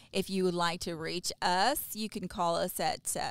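A woman with an American accent uses a normal speaking voice, fairly low in pitch, at a fairly slow pace. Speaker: podcast host. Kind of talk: casual interview chat.

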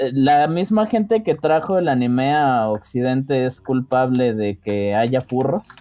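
The speech comes at a very slow pace, with a Mexican accent and hardly any pauses. Noticeable background noise is present. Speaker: podcast co-host. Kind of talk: casual chat.

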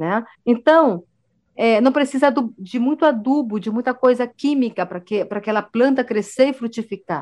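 Her voice high in pitch with ordinary variation, a woman speaks at a moderate pace. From Brazilian Amazon, Amazonas. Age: 40s. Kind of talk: interview.

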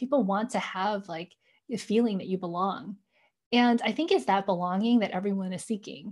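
A woman talks at a fairly quick pace in a medium pitch. Her voice is somewhat breathy, with ordinary pitch variation. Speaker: tech executive. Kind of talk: podcast interview. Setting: home with kids.

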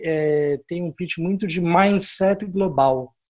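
A man speaks with a São Paulo accent at a fairly high pitch. His intonation is lively. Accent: Brazilian Portuguese (Paulista). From Brazil, São Paulo. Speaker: angel investor and business executive. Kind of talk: interview.

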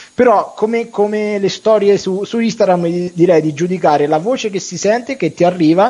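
A man's high, animated voice at a fairly quick pace, with lively intonation. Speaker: radio host. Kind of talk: casual chat. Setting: studio.

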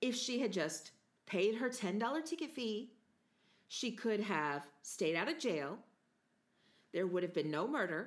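Speaking with an American accent at a fairly slow pace, a woman with a medium pitch makes very wide pitch swings and takes long, frequent pauses. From United States. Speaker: podcast host.

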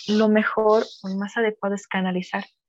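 Over a quiet background, a woman speaks at a medium pitch and a fairly slow pace. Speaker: psychologist. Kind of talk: casual chat. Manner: stumbles over words.

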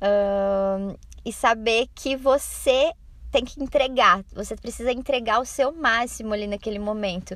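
A woman speaks in a plain, everyday voice, fairly high in pitch, at a fairly slow pace with ordinary pitch variation. The recording is very clean with a silent background. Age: 20s. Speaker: dance teacher. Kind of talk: recorded voice-message answers.

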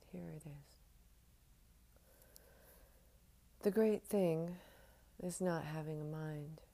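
The delivery comes at a very slow pace, broken by long, frequent pauses. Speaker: poetry podcast host. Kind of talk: poetry reading, intimate and contemplative. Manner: slow, soft-spoken, heartfelt; emotive, reflective.

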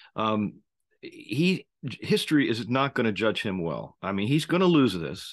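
A man with an American accent speaks at a medium pitch with very wide pitch swings. His voice has vocal fry. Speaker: podcast host, former Navy SEAL. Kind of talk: solo commentary monologue. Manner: halting, many fillers.

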